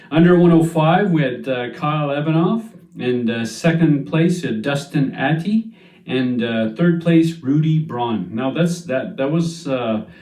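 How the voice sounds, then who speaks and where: A man talks at a fairly slow pace with lively intonation and fairly high pitch. Audible room echo surrounds his voice. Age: 50s. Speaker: strongman competitor and channel host. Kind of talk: casual monologue recap. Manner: hesitant, many fillers.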